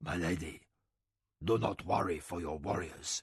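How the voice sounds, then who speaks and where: A man does a put-on character voice, raspy and very deep. He speaks at a moderate pace against a quiet background. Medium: read story. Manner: steady, soldierly.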